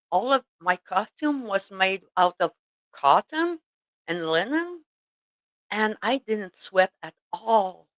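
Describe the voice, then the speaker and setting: Here a woman with a French Canadian accent speaks at a medium pitch with lively intonation. The sound is dry and close, with no echo. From Quebec. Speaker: tatting teacher. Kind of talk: casual chat. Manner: halting, many fillers.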